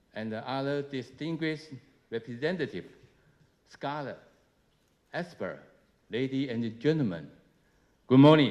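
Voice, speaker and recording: A man with a Chinese accent speaks at medium pitch and a fairly slow pace, with ordinary pitch variation and long, frequent pauses. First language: Mandarin Chinese. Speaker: government minister. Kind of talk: speech. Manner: halting, many filler uh's.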